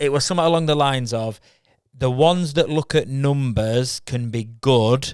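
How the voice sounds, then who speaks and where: A man with a Yorkshire accent talks with ordinary pitch variation in a very clean recording with a silent background. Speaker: podcast co-host, video creative. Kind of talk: casual chat. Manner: animated.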